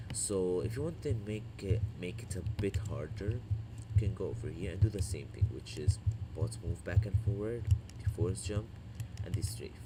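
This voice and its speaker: A man with a non-native accent and a fairly low pitch. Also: ordinary pitch variation, moderate pace. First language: not English. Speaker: gaming youtuber. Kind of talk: gameplay tutorial. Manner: casual, hesitant.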